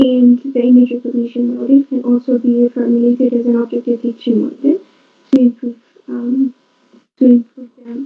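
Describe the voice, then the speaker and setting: Soft-spoken and high-pitched, a woman talks at a fairly quick pace in a monotone, flat intonation. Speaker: conference presenter. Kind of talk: conference presentation. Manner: halting.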